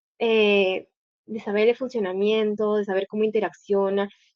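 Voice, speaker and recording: A woman speaks at a moderate pace with fairly high pitch. Hers is a plain, everyday voice. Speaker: guest lecturer, doctoral student. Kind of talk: lecture.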